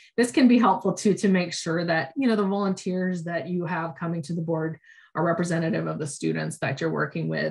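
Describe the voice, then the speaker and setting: A woman's somewhat breathy, medium-pitched voice at a fairly quick pace, with ordinary pitch variation. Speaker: education program manager. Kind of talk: online training presentation. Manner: fast; hesitant with many fillers.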